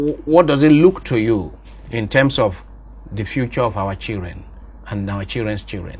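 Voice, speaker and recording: A man's fairly low voice with vocal fry, a Nigerian accent and long, frequent pauses. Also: lively intonation, moderate pace. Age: 50s. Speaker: priest and talk show host. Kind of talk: interview. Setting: studio.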